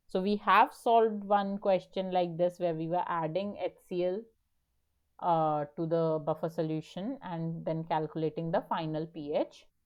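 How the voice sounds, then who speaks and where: A woman in a normal speaking voice talks at a moderate pace, her pitch fairly low and its variation ordinary. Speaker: teaching assistant. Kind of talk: online tutorial session.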